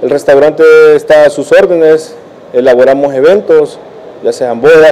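The man speaks with fairly even intonation. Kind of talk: interview answer. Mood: friendly promotional. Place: cafe. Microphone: handheld.

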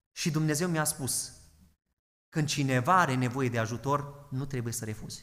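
With audible room echo, a man at a fairly high pitch speaks at a moderate pace with ordinary pitch variation. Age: 20s. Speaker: pastor. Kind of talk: sermon.

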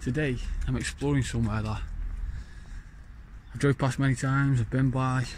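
A man talks at a moderate pace, his dry, echo-free sound set over light background noise. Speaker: urban explorer vlogger. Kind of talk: casual vlog chat. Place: factory. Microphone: phone near.

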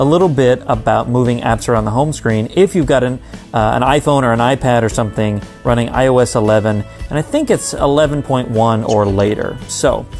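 Faint music plays behind a man who talks at a moderate pace with very even loudness and ordinary pitch variation. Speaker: tech accessibility vlogger. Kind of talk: tutorial. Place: home room. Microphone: phone near.

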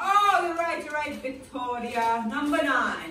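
Amid noticeable background noise and audible room echo, a woman uses a raised, projected voice at a very slow pace. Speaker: teacher. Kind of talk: classroom lesson. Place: classroom. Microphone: camera far.

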